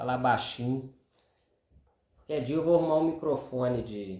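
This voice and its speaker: A soft-spoken man with ordinary pitch variation, in audible room echo. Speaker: video commentator. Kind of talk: monologue. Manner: casual. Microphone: no lapel mic, speaking without clip-on.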